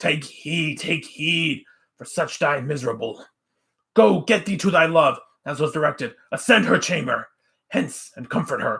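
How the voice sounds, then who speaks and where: Putting on a character voice at a fairly high pitch, a man speaks at a moderate pace with lively intonation and big swings in loudness. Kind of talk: Shakespearean declamation. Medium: read story. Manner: lecturing, forceful.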